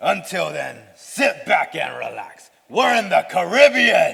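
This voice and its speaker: A man puts on a character voice and delivers it at a fairly slow pace. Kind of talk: school play acting. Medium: stage play.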